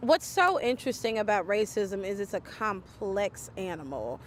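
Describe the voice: A woman speaks at a medium pitch. Her voice makes big pitch swings. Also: moderate pace.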